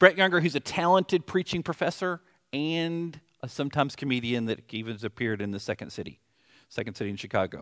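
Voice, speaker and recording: A man with a Southern US accent talks at a moderate pace, his fairly high pitch swinging very widely. The sound is dry and close with no echo, and the recording is very clean with a silent background. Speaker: pastor. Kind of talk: sermon. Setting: church.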